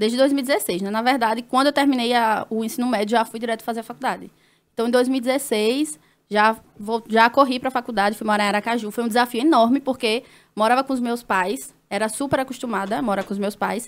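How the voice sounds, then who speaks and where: This woman talks fairly quickly. Her pitch moves only a little, staying fairly even. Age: 20s. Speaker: nurse and influencer; influencer. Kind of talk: casual chat. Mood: personal, reflective storytelling. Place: studio. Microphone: studio mic.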